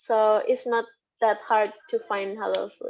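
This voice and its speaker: A woman talks at a very slow pace in an Indonesian accent. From Indonesia (Sundanese, West Java). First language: Sundanese. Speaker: lecturer. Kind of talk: interview. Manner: halting.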